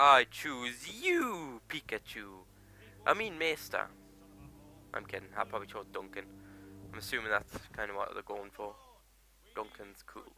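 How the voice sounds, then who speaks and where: A dry sound with no echo, long, frequent pauses, big swings in loudness and music in the background. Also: man, moderate pace. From Newcastle, northern England. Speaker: gaming YouTuber. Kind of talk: let's play commentary. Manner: animated, jokey and sweary. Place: home room. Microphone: headset.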